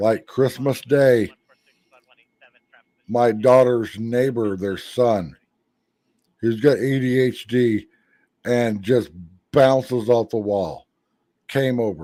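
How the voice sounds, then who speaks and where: Speaking at a very slow pace with a dark, mellow tone in an American accent, the voice leaves long, frequent pauses. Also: man, medium pitch for a man. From Missouri, US Midwest. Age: 50s. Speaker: YouTube live streamer. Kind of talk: casual live stream chat. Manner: animated.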